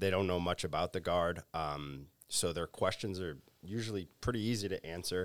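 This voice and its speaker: A man with a very deep, low voice and a southeastern Massachusetts accent, on a very clean recording with a silent background. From Massachusetts South Coast, New Bedford area. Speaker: military recruiter. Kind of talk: roundtable discussion.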